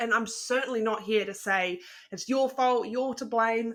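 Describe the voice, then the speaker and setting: A woman with a New Zealand accent, an enthusiastic tone and ordinary pitch variation. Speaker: relationship coach. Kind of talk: online masterclass presentation.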